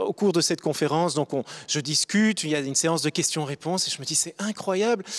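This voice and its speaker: This man has a high pitch and ordinary pitch variation. The sound is dry and close, with no echo. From Belgium, Brussels. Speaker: diplomat. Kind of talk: panel discussion. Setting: studio. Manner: halting.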